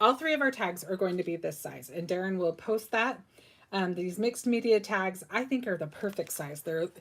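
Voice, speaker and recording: Lively intonation, moderate pace and medium pitch in a woman's a plain, everyday voice. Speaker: crafting tutorial host. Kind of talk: live craft tutorial. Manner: casual, filler words.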